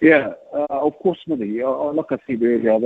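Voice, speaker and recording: At a moderate pace, a man with a New Zealand accent talks with ordinary pitch variation. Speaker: cricket coach. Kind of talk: radio interview.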